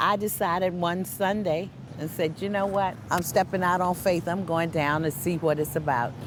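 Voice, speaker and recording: At a moderate pace, a woman with a plain, everyday voice talks at a fairly low pitch with fairly even intonation. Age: 60s. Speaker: protest supporter. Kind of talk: documentary interview.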